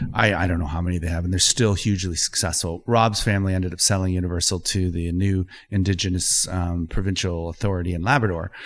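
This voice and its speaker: Speaking with a Canadian accent, a man with a very deep, low pitch talks at a very fast pace with hardly any pauses and fairly even intonation, on a very clean recording with a silent background. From Ontario, Canada. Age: 50s. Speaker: environmental lawyer and water advocate. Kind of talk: casual interview. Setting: studio.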